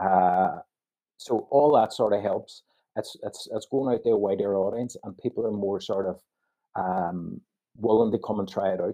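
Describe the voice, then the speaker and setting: In an Irish accent, a man talks at a moderate pace with a fairly low pitch and fairly even intonation. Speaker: sports league official. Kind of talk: interview.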